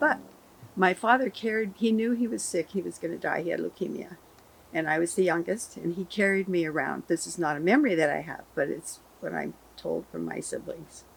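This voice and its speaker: A woman with an American accent, medium pitch, vocal fry, lively intonation and a fairly quick pace. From California. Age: 70s. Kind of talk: interview storytelling.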